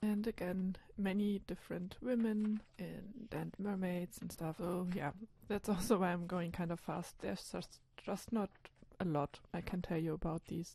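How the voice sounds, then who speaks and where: At a moderate pace, a woman speaks in a dark, mellow, somewhat breathy tone with fairly even intonation. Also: medium pitch for a woman. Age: 20s. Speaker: illustrator. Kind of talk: voiceover narration of sketchbooks. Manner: casual, hesitant with fillers.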